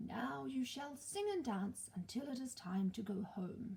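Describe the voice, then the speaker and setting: A woman puts on a character voice, soft-spoken and fairly high in pitch. She speaks fairly slowly. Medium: read story. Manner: solemn, kindly.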